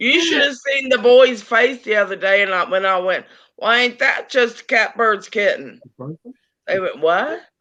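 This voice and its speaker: A woman's fairly high, bright, sharp voice with a slight Appalachian accent, lively intonation and a moderate pace. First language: Japanese. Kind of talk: casual chat.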